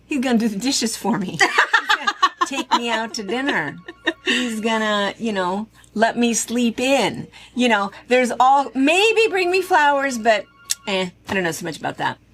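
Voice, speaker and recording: Over music in the background, a woman with an American accent speaks in an animated tone at a fairly high pitch, her pitch swinging very widely. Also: moderate pace. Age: 60s. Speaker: quilt shop owner and video host. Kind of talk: casual chat.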